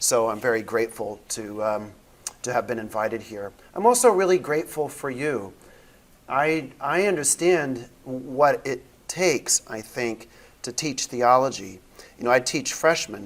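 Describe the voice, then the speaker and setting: A fairly slow, lively-intoned voice with a Midwestern accent. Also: man, medium pitch for a man. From US Midwest. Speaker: theology professor. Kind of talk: lecture.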